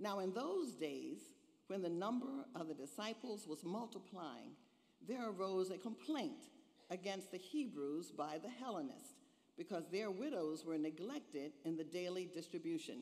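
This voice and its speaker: A woman talks at a moderate pace. Her pitch swings are very wide. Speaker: minister. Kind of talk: scripture reading in sermon. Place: church. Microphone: podium.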